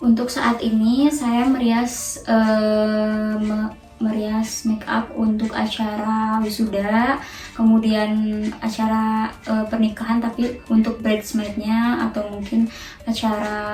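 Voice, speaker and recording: Music plays in the background as a woman speaks at a very slow pace with audible room echo. Her fairly high pitch stays in a monotone, flat intonation. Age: 20s. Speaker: makeup artist. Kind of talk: interview. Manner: hesitant, many fillers.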